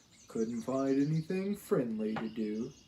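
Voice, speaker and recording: Pitched in the medium range, a man performs a put-on character voice. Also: moderate pace. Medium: read story. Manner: mopey, slow.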